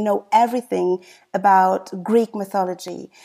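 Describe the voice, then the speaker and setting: The voice moves at a very slow pace with a dark, mellow tone and fairly even intonation. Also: woman. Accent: German. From Germany. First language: German. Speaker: podcast host. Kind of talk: interview.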